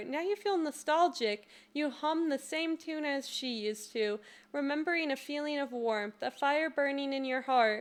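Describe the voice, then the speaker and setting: The voice is soft-spoken, at a moderate pace. Pitch shifts by an ordinary amount. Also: woman, high pitch for a woman. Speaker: streamer, gamer. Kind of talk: reading visual novel text aloud. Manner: soft-spoken, giggly.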